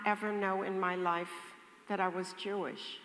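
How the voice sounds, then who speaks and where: This clip features a woman talking. Audible room echo hangs around her words. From Netherlands. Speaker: Holocaust survivor. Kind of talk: testimony in audience Q&A.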